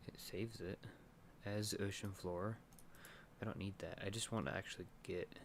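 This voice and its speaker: A quiet, mumbling man with fairly low pitch, fairly even intonation, a moderate pace, and long, frequent pauses. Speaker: game developer streamer. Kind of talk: live stream chat while coding. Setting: live stream with webcam. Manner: casual, hesitant with fillers.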